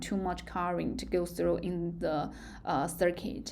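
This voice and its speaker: Talking with a Chinese accent at a fairly slow pace, a woman is heard with audible room echo. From China. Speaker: university lecturer. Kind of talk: lecture. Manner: halting.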